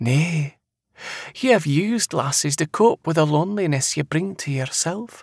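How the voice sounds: A man speaks in a put-on character voice, fairly high for a man, with lively intonation, vocal fry and a slightly husky edge at a fairly slow pace. The recording is very clean with a silent background and a dry, close sound with no echo.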